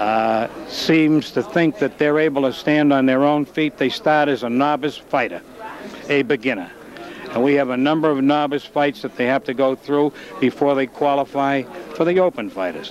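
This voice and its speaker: Speaking with a Boston accent over noticeable background noise, a man talks at a moderate pace in a fairly high pitch with ordinary pitch variation. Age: 70s. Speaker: amateur boxing official. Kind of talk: interview. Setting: hotel before fight night.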